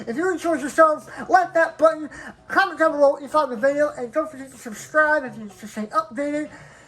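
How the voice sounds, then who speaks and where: A high-pitched woman speaks at a very fast pace, with ordinary pitch variation and big swings in loudness. There is noticeable background noise. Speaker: gaming YouTuber. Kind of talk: let's play commentary.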